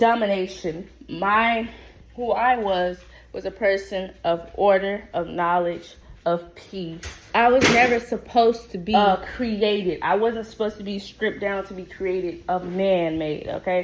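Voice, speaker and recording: At a fairly slow pace, a woman with an American accent talks in a plain, everyday voice at a medium pitch, her intonation fairly even but her loudness swinging widely. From US South, Alabama. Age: 20s. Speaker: podcast host. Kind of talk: casual monologue.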